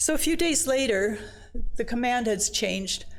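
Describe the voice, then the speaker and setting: Very wide pitch swings and vocal fry at a moderate pace. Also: woman. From China, then Sweden. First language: Chinese. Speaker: missionary speaker. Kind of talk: personal testimony talk.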